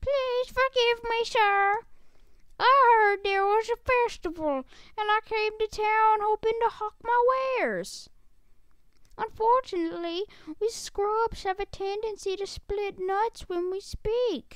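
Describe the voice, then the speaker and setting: Using a put-on character voice, a man speaks at a fairly slow pace with an extremely high pitch. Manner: apologetic, dejected.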